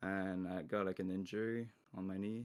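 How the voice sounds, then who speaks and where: The voice comes with a French accent. Its intonation is monotone and flat. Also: man. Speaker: pro esports player. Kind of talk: interview. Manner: halting.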